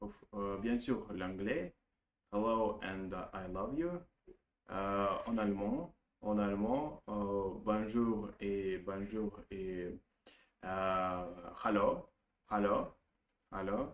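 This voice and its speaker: A man speaks at a very slow pace with a Russian accent, his pitch fairly low and his pitch variation ordinary, leaving long, frequent pauses. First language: Russian (speaking French). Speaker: language learner vlogger. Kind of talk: casual monologue practicing a foreign language. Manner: halting, many hesitations and repetitions.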